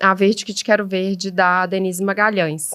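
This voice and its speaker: There's a woman talking at a moderate pace with a mineiro accent. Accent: mineiro accent, noted as delicious. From Minas Gerais, Brazil (Belo Horizonte). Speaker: event decorator and florist. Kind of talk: podcast interview. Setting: at a table at home.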